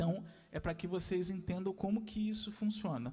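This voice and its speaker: This man's voice sits high in pitch, with lively intonation. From Rio de Janeiro, west zone (Senador Camará). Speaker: lecturer, arts educator. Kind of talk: lecture.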